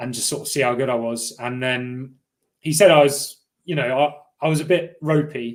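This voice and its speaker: A man with a Cornish accent, fairly even intonation and a moderate pace. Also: medium pitch for a man. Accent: little Cornish. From Cornwall, England. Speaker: elite rower. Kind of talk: interview. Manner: hesitant, lots of fillers.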